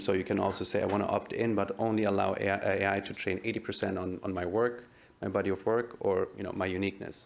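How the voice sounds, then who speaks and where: In a German accent, a man with a fairly low voice talks at a fairly quick pace with fairly even intonation. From Germany. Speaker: tech startup CEO, AI researcher. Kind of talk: panel discussion. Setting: stage with audience.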